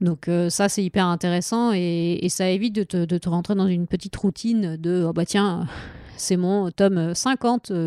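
A woman's dark, mellow, medium-pitched voice holds fairly even intonation and very even loudness at a fairly slow pace. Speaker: comics translator. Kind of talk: casual interview.

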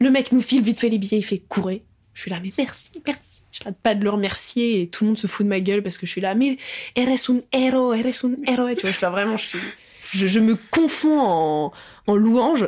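A woman talks at a fairly quick pace in a plain, everyday voice. Her pitch is fairly high, with ordinary pitch variation. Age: 20s. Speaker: actress and musician. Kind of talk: casual chat.

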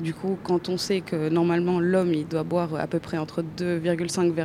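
At a fairly slow pace, a woman talks in a fairly low pitch with a dark, mellow tone. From Chile. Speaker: architecture student. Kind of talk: interview. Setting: exhibition hall.

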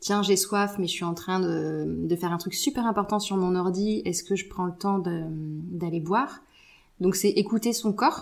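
A woman speaks in a normal speaking voice at medium pitch. Her pace is fairly slow, with ordinary pitch variation. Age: 40s. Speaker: naturopath. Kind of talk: casual chat.

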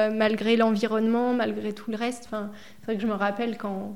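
Over noticeable background noise and with audible room echo, a woman speaks at a moderate pace in a fairly high pitch. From France, Indre (Berry). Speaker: director of a home care association. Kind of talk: casual interview.

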